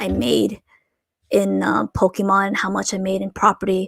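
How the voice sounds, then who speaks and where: A woman with a slight Asian accent talks at a moderate pace in a dry, close sound with no echo. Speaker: Pokemon card collector and streamer. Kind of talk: live stream chat. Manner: hesitant, many fillers.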